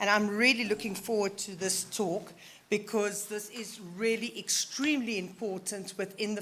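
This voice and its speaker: A woman speaks at a medium pitch with an ordinary speaking voice. Her intonation is fairly even. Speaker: session chair. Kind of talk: conference Q&A moderation.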